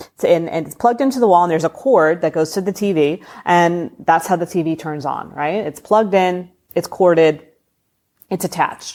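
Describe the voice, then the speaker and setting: In a very clean recording with a silent background, a woman speaks at a fairly low pitch with ordinary pitch variation. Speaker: spiritual podcast host. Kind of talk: solo podcast talk. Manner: fast; casual, conversational.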